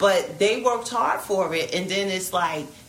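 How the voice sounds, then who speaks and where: With an American accent and ordinary pitch variation, a woman talks over noticeable background noise. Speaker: mother. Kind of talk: casual family conversation.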